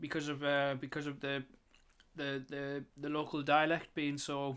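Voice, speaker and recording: A man with a strong northeast English accent speaks at a moderate pace, his fairly high pitch held in a monotone, flat intonation. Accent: strong northeast England. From northeast England. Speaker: artist and YouTuber. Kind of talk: casual monologue. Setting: home, voice recorder. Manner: rambling, hesitant with fillers; relaxed.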